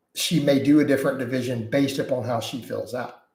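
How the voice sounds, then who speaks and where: With an American accent, a man speaks at a medium pitch, somewhat breathy and with fairly even intonation. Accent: Texas accent, varies in strength. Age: 40s. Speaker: fitness coach and YouTuber. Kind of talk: live stream chat Q&A. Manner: casual, conversational.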